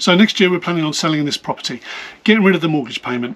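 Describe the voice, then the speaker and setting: A man with a British accent and ordinary pitch variation, amid noticeable background noise. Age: 50s. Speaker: vlogger. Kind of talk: personal vlog. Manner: fast.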